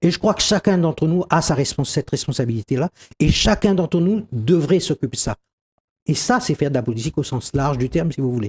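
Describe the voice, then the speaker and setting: The somewhat breathy voice moves at a fairly quick pace with lively intonation, on a very clean recording with a silent background. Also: man. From Réunion. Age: 60s. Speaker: doctor and local politician. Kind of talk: TV interview.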